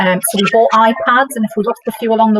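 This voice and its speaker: A woman with a northern English accent speaks at a very fast pace in a fairly high voice. The sound is dry and close, with no echo. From northern England. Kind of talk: workshop discussion. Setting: workshop with audience.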